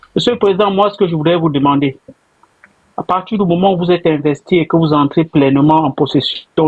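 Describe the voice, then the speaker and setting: This man has a normal speaking voice, a fairly high pitch and ordinary pitch variation. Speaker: caller. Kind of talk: question to politician in interview. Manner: formal.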